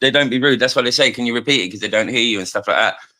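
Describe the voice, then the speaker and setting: A man speaks with a Cockney accent and ordinary pitch variation. Music plays behind him. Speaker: live stream participant. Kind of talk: casual chat. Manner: fast; animated.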